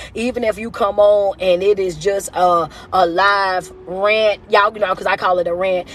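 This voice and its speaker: A woman speaks in an animated tone against noticeable background noise. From US South. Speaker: motivational speaker. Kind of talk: live stream rant. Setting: social media livestream. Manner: loud.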